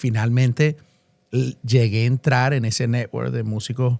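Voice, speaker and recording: A man with a Venezuelan accent speaks with monotone, flat intonation. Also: dry, close sound with no echo. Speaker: musician and event organizer. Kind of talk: casual interview. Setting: studio.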